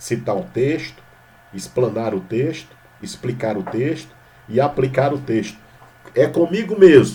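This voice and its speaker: In a Maranhão accent, a man speaks at a fairly slow pace with lively intonation and long, frequent pauses, amid audible room echo. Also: medium pitch for a man. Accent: Maranhão accent, drawling Portuguese. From Brazil, Maranhão. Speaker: pastor. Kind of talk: sermon. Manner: informal, conversational.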